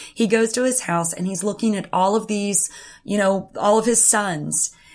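A woman's medium-pitched voice at a fairly slow pace, with ordinary pitch variation and noticeable background noise. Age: 40s. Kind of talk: devotional talk sharing personal testimony. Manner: hesitant, with frequent fillers.

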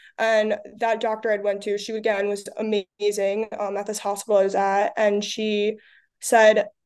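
An unremarkable speaking voice with an American accent moves at a moderate pace and fairly even intonation. The background is quiet. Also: woman. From US Northeast, Long Island. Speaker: college athlete. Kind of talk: casual interview.

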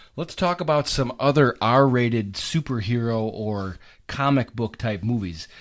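On a very clean recording with a silent background, a man with a plain, everyday voice speaks at a medium pitch and a fairly slow pace, his intonation lively. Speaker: podcast host. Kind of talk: casual chat, instant movie review.

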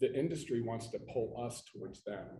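Audible room echo surrounds a man's somewhat breathy voice of medium pitch. His tone is dark and mellow, and his pace is moderate. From Pittsburgh, Pennsylvania. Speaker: flooring installation certification executive. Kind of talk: casual chat. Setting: convention floor.

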